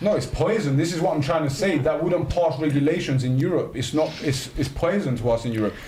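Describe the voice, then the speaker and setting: With a London accent, a man talks at a very fast pace and ordinary pitch variation. The room echo is audible, and there's noticeable background noise. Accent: London accent, non-posh. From North London, England. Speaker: podcast host. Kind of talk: casual group chat. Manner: animated.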